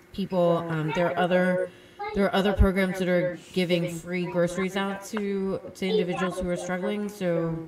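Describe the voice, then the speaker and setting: Over noticeable background noise, a woman talks at a moderate pace in a fairly low pitch with a monotone, flat intonation. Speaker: podcast co-host. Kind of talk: casual chat.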